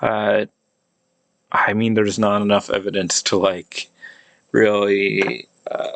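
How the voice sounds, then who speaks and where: A man with an American accent speaks very slowly in a fairly low, monotone, flat voice, leaving long, frequent pauses. The sound is dry and close with no echo. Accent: American English with cot-caught merger. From United States. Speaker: amateur linguist / YouTuber. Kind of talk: pronunciation demonstration monologue. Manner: halting, many fillers and restarts.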